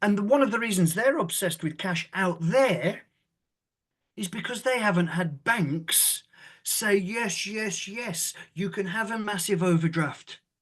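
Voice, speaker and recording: A man with a British accent speaks at a high pitch in an animated tone. His pace is fairly slow, and the background is quiet. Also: ordinary pitch variation. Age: 60s. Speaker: former law firm managing partner and author. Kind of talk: casual podcast interview.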